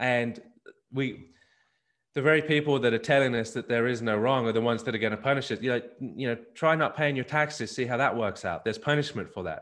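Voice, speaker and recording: On a very clean recording with a silent background, a man with an Australian accent speaks at a fairly quick pace, his medium pitch following fairly even intonation. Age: 40s. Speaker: family ministry business owner. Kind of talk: interview. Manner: repeats words, halting starts.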